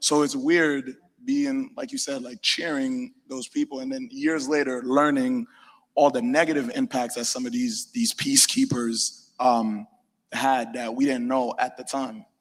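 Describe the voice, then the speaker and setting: Speaking at a moderate pace, a man talks with a slight Haitian accent. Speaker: panelist. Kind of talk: panel discussion.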